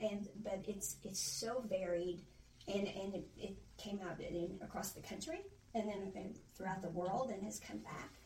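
In an American accent, a woman speaks fairly slowly at a medium pitch with fairly even intonation. She has a normal speaking voice. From US Midwest, Illinois. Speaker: podcast host. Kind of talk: casual chat.

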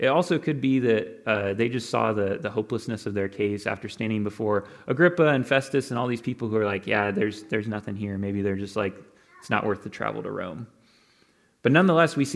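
Very fast, medium-pitched male speech with ordinary movement in pitch. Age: 20s. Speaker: pastor. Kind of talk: sermon.

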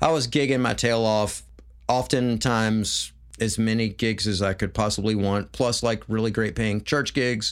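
A man with an American accent, an ordinary speaking voice, fairly even intonation and a moderate pace. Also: very clean recording, silent background. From US South, Memphis, Tennessee. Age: 40s. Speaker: musician. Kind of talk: casual chat.

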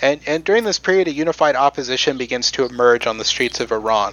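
A man with a normal speaking voice and an American accent, fairly high in pitch, at a fairly quick pace with lively intonation. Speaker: podcast host presenting history. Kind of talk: casual history storytelling with jokes. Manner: conversational, digressive, jokey.

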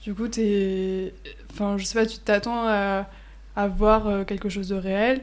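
A woman's medium-pitched voice in a flat monotone. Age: 20s. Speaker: law student. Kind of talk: casual chat.

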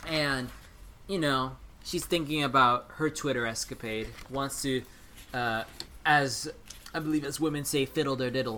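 The talk moves at a moderate pace, broken by long, frequent pauses. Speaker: podcast host. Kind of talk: casual comedic chat. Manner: animated, high energy.

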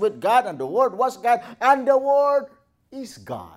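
Speaking at a fairly slow pace in an animated tone, a man comes through in a very clean recording with a silent background. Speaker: pastor. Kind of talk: sermon. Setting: church.

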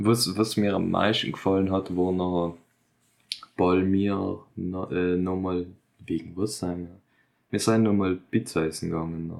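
A man with a very deep, low pitch speaks at a fairly slow pace in a monotone, flat way, leaving long, frequent pauses. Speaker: podcast co-host, recent school graduate. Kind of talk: casual chat.

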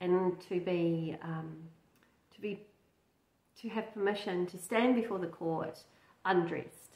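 A fairly low-pitched woman at a fairly slow pace, ordinary pitch variation, audible room echo

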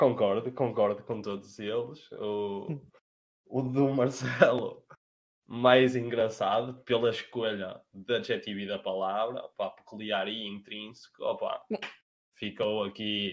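A man speaks with a European Portuguese accent at a very slow pace. His medium pitch follows fairly even intonation. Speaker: podcast co-host. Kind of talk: casual chat among friends.

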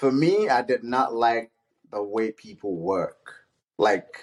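A man speaks with a Nigerian accent. His intonation is lively. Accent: Nigerian (Yoruba) English. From Nigeria (Ede, Osun; born Ibadan). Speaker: immigrant, project manager. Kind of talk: casual chat.

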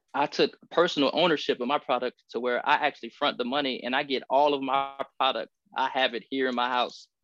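Speaking fairly quickly with an American accent, a man uses an unremarkable speaking voice, fairly high in pitch with ordinary variation, recorded dry and close with no echo against a quiet background. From US Midwest, Columbus, Ohio. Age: 30s. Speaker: clothing designer and military retiree. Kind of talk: casual chat.

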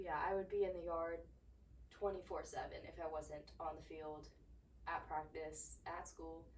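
There is audible room echo as a woman speaks. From US South (Georgia). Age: 20s. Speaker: podcast host, former college athlete. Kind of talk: casual solo monologue.

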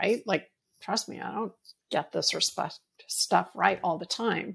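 A woman speaks in an American accent at a moderate pace. Hers is an unremarkable speaking voice with ordinary pitch variation. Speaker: leadership coach. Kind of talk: interview, professional conversation.

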